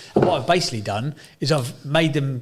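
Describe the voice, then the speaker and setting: A man does the talking. He pitches his voice fairly high. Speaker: podcast host. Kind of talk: casual chat.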